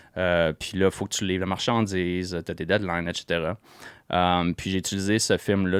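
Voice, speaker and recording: A man with a Quebec accent speaks at a very deep, low pitch. The sound is dry and close with no echo, on a very clean recording with a silent background. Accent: Québécois French. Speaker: entrepreneur and former actor. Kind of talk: podcast interview. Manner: hesitant, many fillers.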